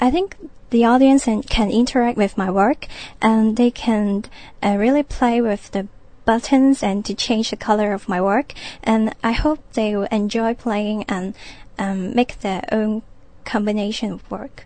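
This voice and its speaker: A somewhat breathy woman's voice, fairly high in pitch with a dark, mellow tone, fairly slow, with ordinary pitch variation, over a quiet background. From Hong Kong. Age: 20s. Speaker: artist. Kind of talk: radio interview.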